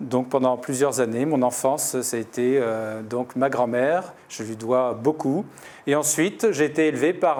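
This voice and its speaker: The man's voice sits at a medium pitch with ordinary variation, moving at a fairly slow pace. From Paris, France. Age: 60s. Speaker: doctor and municipal election candidate. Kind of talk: interview portrait. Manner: hesitant, many fillers.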